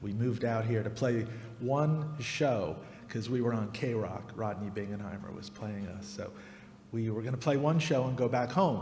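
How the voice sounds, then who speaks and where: A man with an American accent, medium pitch, ordinary pitch variation and a moderate pace, in audible room echo. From New Jersey, US. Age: 60s. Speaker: radio host and musician. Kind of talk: interview on stage.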